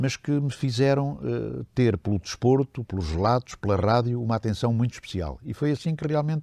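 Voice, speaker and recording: A man with a dark, mellow tone and medium pitch speaks at a moderate pace with lively intonation and hardly any pauses against a quiet background. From Portugal, Beira Interior. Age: 80s+. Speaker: retired radio journalist. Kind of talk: oral history interview. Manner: hesitant, many fillers.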